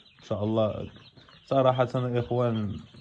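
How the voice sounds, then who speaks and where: Noticeable background noise sits under speech that moves at a fairly quick pace. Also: man. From Morocco, Tangier. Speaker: novice poultry farmer and forklift driver. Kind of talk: casual video vlog.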